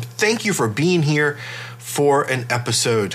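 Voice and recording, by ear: A man speaks in a fairly high pitch with a fairly bright tone and lively intonation.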